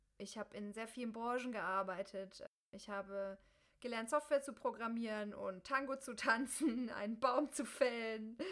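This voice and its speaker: Heard in an ordinary speaking voice, a woman with fairly high pitch and ordinary pitch variation talks at a moderate pace, with big swings in loudness. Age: 30s. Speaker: podcast host and coach. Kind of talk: solo podcast monologue.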